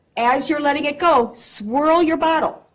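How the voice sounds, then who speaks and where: Loud and animated in tone, a woman is speaking. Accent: American. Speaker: pharmacy technician. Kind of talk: live demonstration talk. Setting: convention stage with audience, no microphone.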